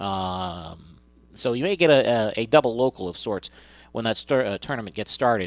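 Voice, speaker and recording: A man talks at a medium pitch with lively intonation in an unremarkable speaking voice. The recording is very clean, with a silent background. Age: 50s. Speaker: radio sports host. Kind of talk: sports news reading.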